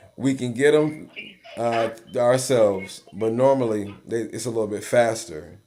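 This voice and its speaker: With music in the background and audible room echo, a man talks at a moderate pace in a medium pitch with ordinary pitch variation. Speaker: insurance agent. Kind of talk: live Q&A call with business owner. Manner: casual, many fillers.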